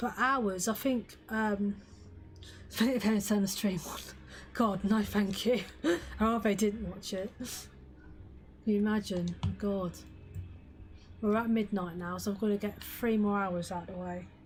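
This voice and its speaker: A woman's voice with fairly even intonation, long and frequent pauses, and music in the background. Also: medium pitch for a woman, fairly slow pace. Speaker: gaming streamer. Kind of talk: live gaming stream chat.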